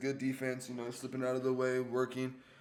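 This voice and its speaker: A man's medium-pitched voice at a very fast pace, with audible room echo. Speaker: YouTuber recapping fights. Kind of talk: casual commentary recap. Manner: casual, halting.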